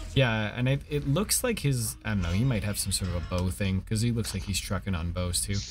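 With music in the background, a man talks at a fairly quick pace in a fairly low pitch, with lively intonation and hardly any pauses. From Canada. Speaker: gaming streamer. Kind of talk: casual co-op gameplay chat. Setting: live stream. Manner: animated.

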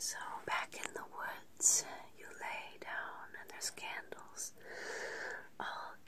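Whispering comes through at a very slow pace. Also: woman. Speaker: guided relaxation host. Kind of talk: soothing guided meditation. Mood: gentle, soothing, intimate. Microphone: phone near.

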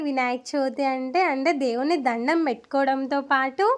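A high-pitched woman talks in an animated tone with ordinary pitch variation. The recording is very clean, with a silent background. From Andhra Pradesh, Markapuram area village. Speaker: vlogger. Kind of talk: vlog narration.

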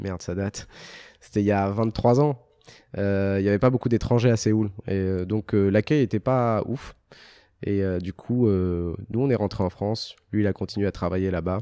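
An ordinary speaking voice moves at a moderate pace with fairly even intonation. The sound is dry with no echo, over a quiet background. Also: man, fairly low pitch for a man. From Algeria. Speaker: motorcycle TV show creator and journalist; motorcycle TV show creator, journalist. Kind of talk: casual interview. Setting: luxury car dealership. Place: office. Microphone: handheld.

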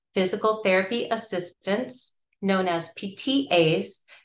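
A woman's voice with audible room echo. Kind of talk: informational talk. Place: home room. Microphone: webcam.

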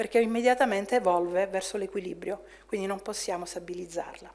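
With ordinary pitch variation, a woman moves along at a fairly quick pace. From Italy. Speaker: chemistry professor. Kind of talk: lecture. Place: hall.

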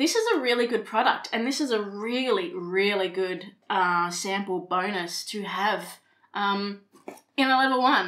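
A woman with an Australian accent and ordinary pitch variation. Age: 30s. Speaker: beauty vlogger. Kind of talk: casual talk to camera. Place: home room.

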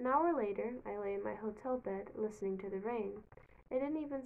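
The recording consists of plain reading aloud.

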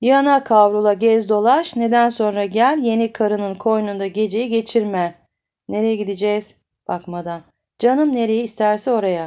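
A woman speaks at a fairly high pitch with a dark, mellow tone and ordinary pitch variation. The recording is very clean, with a silent background. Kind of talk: audiobook reading of a novel, read aloud. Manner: expressive narrator, voicing the dialogue of different characters.

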